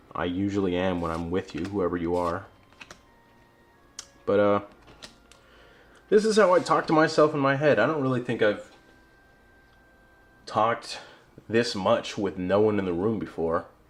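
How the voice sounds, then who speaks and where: A man's fairly low voice with lively intonation at a moderate pace, long, frequent pauses, and music in the background. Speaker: hobbyist card opener vlogger. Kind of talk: solo card unboxing monologue. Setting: alone talking to a camera.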